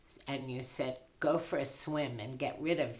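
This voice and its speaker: A woman's very deep, low voice carries fairly even intonation, with audible room echo. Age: 80s+. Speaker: patient. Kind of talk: casual chat.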